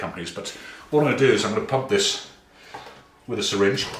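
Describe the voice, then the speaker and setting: Audible room echo and noticeable background noise around a male speaker. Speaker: barbecue youtuber. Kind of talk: cooking tutorial.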